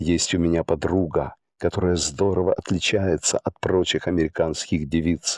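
A man's very deep, low voice at very even loudness, with fairly even intonation. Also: dry, close sound with no echo. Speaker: audiobook narrator. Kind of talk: audiobook reading of a letter, literary narration. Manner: measured, even, read-aloud narration.

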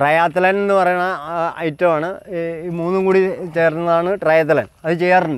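Over a dry sound with no echo, a man speaks at a high pitch with fairly even intonation. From Thrissur, Kerala. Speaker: amateur triathlete. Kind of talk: interview answer. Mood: proud, recounting achievements. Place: forest. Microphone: lapel.

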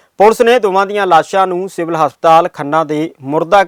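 The sound is dry and close with no echo. Pitch varies in an ordinary way. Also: man. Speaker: news anchor. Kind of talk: news reading, brisk bulletin delivery. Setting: studio.

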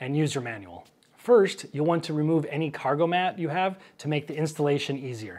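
With ordinary pitch variation, the man keeps to a moderate pace. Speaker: travel vlogger. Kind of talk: sponsor read. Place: home room. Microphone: lapel.

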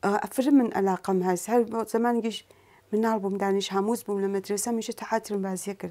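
A woman speaks at a fairly quick pace in a dark, mellow tone. Her intonation is fairly even. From Sanandaj, Iranian Kurdistan; Iranian Kurdistan. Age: 40s. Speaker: Quran teacher and athlete; Quran teacher. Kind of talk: talk show interview. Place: studio.

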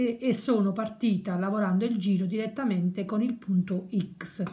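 With ordinary pitch variation, this woman's speech unfolds at a fairly slow pace. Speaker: crochet teacher. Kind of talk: tutorial.

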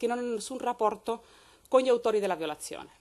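Very fast speech from a woman with a Spanish accent, fairly high in pitch, with ordinary pitch variation and a quiet background. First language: Spanish (speaking Italian). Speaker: law professor. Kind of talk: conference talk. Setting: university lecture hall. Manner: formal.

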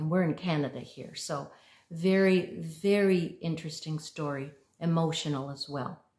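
A somewhat breathy voice is heard over a quiet background. Room echo is audible. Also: woman. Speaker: home vlogger. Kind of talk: casual vlog chat. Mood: warm, gentle. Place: home room. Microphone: phone near.

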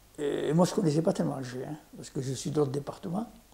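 A man's dark, mellow tone with vocal fry and ordinary pitch variation. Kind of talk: casual interview recounting life story. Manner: halting, repeats words. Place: home room. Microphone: lapel.

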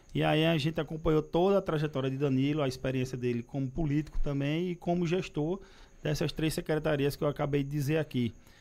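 A man talks at a very fast pace. His fairly high voice keeps a fairly even intonation. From Pernambuco, Brazil (Recife); Pernambuco, Brazil. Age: 30s. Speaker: politician. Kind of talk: interview. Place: studio. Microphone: studio mic.

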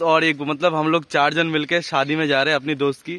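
This man's voice sits at a fairly high pitch and has a bright, sharp tone.

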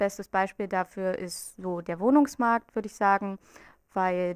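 Delivered at a moderate pace, the speech sounds dry with no echo over a quiet background. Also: woman. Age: 20s. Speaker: student group representative. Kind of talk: campaign interview statement. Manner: hesitant with filler sounds. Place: office. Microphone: handheld.

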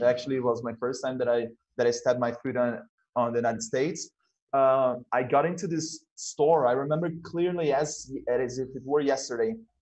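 The speaker has a Portuguese accent and talks at a fairly quick pace. Pitch variation is ordinary. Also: man. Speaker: talk show host at a language school. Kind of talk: casual interview chat. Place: home room. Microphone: video call.

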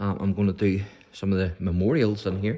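The voice is a man's, with a Northern Irish accent. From Northern Ireland. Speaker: church history video presenter; presenter. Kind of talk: guided tour. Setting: inside a church. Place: church. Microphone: phone near.

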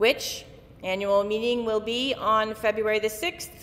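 Moderate pace from a woman speaking. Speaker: minister giving announcements. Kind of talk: church announcements.

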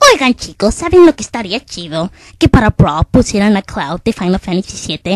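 A woman at medium pitch talks at a moderate pace, her voice swinging very widely in pitch. The recording is very clean, with a silent background and a dry, close sound with no echo. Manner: chatty, then alarmed.

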